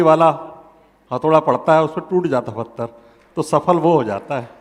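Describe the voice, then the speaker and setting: A man with a fairly high pitch and ordinary pitch variation. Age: 60s. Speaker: party district president. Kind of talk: interview. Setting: event with audience.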